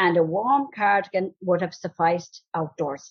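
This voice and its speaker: A woman with a Cork accent at a fairly slow pace. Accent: Cork Irish. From County Cork, Ireland. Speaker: older local resident. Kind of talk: reading aloud a prepared essay.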